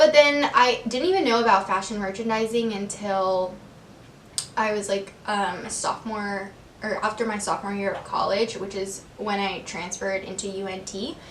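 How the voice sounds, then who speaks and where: A woman with an American accent, medium pitch and ordinary pitch variation, at a moderate pace with big swings in loudness, audible room echo and noticeable background noise. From Texas, Corpus Christi. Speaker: lifestyle vlogger. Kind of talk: casual Q&A vlog. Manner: casual, filler-heavy (um, like).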